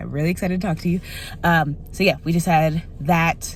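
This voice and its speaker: Noticeable background noise fills the clip as a woman talks at a fairly quick pace. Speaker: vlogger. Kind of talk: casual video diary. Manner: fast; rambling, self-correcting.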